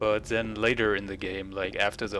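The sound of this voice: Speech in a continental European accent comes at a moderate pace. The tone is fairly bright and the intonation fairly even. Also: man. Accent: non-native English, continental European.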